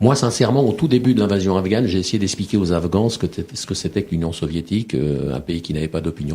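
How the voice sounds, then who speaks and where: A man with a very deep, low pitch talks at a very fast pace. His intonation is lively, and there is noticeable background noise. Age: 50s. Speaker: war reporter and author. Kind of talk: radio interview. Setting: radio studio. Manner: halting, many repetitions.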